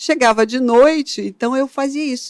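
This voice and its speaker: On a very clean recording with a silent background, a woman's voice sounds dry and close with no echo. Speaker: photographer. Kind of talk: interview.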